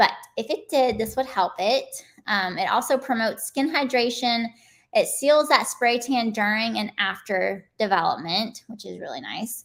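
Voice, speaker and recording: A woman talks in a plain, everyday voice at a fairly high pitch. Her intonation is lively, her pace moderate, and the recording very clean with a silent background. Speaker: spray tan technician. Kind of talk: live stream tutorial. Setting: live stream.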